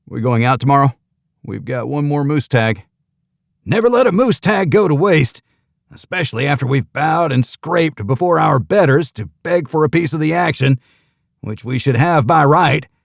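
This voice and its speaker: In a put-on character voice, a man sounds gruff and fairly high-pitched, with lively intonation at a moderate pace, the sound dry and close with no echo. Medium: read story. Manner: gruff, blunt, deadpan.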